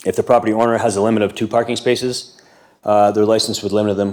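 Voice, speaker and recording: A man speaks at a fairly low pitch. His intonation stays flat and monotone. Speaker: delegate for short-term rental hosts association. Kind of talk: council delegation presentation. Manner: fast.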